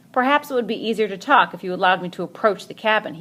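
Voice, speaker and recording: A growling, put-on character voice, female-sounding, at a medium pitch for a woman and a very fast pace. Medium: read story. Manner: gruff, falsely courteous.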